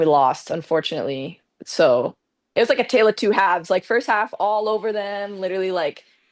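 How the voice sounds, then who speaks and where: With a Canadian accent and an unremarkable speaking voice, a woman talks at a fairly quick pace and medium pitch, her intonation lively against a quiet background. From Canada, Mississauga near Toronto. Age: 20s. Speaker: professional soccer player. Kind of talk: casual interview chat.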